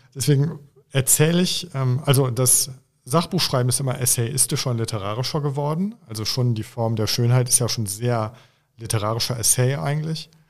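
A somewhat breathy man at a moderate pace, with ordinary pitch variation, on a very clean recording with a silent background. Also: medium pitch for a man. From Germany, Oberbergischer Kreis near Cologne. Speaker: author. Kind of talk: interview conversation.

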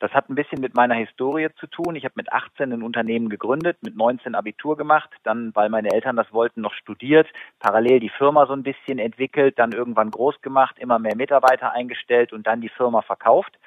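A man with a plain, everyday voice speaks at a medium pitch and a fairly quick pace. He uses hardly any pauses, and his intonation is fairly even. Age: 40s. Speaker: sales consultant and keynote speaker. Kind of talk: interview. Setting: phone call.

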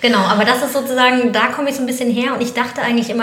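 A woman is speaking. The audio carries noticeable background noise and audible room echo. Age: 40s. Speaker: communications consultant, restaurant co-founder. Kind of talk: casual interview chat.

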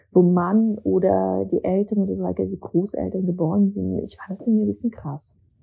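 Music plays behind the speaker. The voice is a woman's. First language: not German (learned German at school as migrant) (speaking German). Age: 30s. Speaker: novelist and essayist. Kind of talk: casual interview. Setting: remote call to Berlin.

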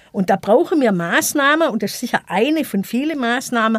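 The sound is dry and close with no echo as a woman talks at a fairly high pitch with very wide pitch swings. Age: 50s. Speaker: equal opportunities officer. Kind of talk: debate interview.

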